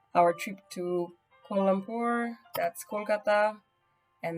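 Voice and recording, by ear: With music in the background, a woman speaks in a lively intonation.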